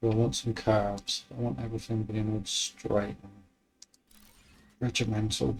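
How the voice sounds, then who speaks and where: Relaxed in tone and somewhat breathy, a man speaks at a fairly low pitch. His loudness swings widely, and he leaves long, frequent pauses. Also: moderate pace. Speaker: gaming video creator. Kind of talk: gameplay commentary. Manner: monotone; relaxed, casual.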